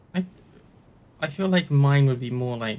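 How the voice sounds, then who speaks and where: A man talks at a moderate pace with a fairly high pitch. His tone is dark and mellow, and somewhat breathy. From UK. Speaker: gaming YouTuber. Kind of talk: let's play commentary. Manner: hesitant.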